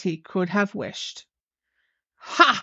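A woman's fairly slow delivery in a dramatic tone. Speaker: podcast host and storyteller. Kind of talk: ghost story audiobook reading. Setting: podcast recording. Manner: measured, dramatic storytelling pace.

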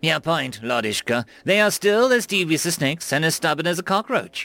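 A man puts on a character voice with a fairly high pitch. He talks at a fairly quick pace. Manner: angry, impatient.

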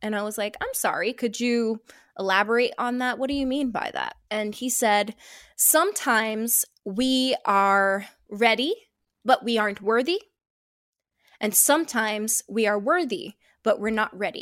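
With an American accent, a woman speaks at a moderate pace with long, frequent pauses. The recording is very clean, with a silent background. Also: fairly high pitch for a woman, ordinary pitch variation. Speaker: podcast host. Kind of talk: casual chat.

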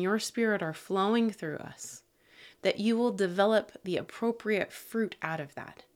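In a very clean recording with a silent background, a woman uses a normal speaking voice at a fairly high pitch with ordinary pitch variation. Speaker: pastor. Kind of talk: devotional talk with prayer; fervent, intimate prayer addressed to God. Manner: earnest, fervent, pleading, heartfelt.

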